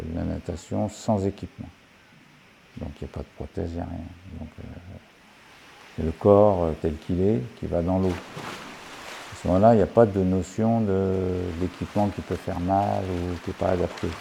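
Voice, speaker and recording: Noticeable background noise runs under the speech. The delivery has a fairly slow pace, fairly even intonation, and long, frequent pauses. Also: man, very deep, low pitch for a man. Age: 60s. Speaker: retired geologist, documentary subject. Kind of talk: documentary interview. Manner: halting, many hesitations.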